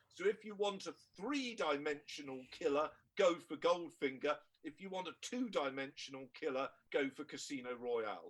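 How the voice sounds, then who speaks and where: A man with a British accent talks at a moderate pace in a fairly high pitch. His intonation is lively, with big swings in loudness. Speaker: historian. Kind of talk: mock-trial argument.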